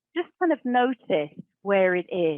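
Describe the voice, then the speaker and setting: At a very slow pace, a woman with an English accent speaks with very wide pitch swings. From England. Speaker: professional storyteller and speaker. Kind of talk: talk; guided exercise.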